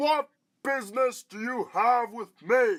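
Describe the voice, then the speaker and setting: This man uses a put-on character voice at an extremely high pitch, cackling as he goes. His pace is fairly slow, and the recording is very clean with a silent background. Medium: audio drama. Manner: boastful, cackling.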